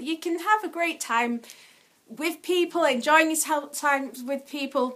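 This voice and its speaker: A woman projects her raised voice with lively intonation at a moderate pace amid noticeable background noise. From Yorkshire, England. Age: adult. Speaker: vlogger. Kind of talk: casual vlog monologue.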